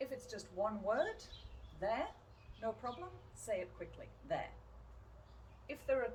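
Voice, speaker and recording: A woman speaks in a British accent with noticeable background noise behind her. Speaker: English teacher. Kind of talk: pronunciation lesson to camera. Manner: clear, slow.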